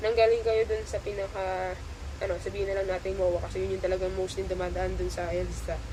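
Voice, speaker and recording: Fairly quick speech from a woman, with audible room echo and noticeable background noise. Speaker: travel vlogger. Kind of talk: travel tutorial vlog. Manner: halting, many fillers.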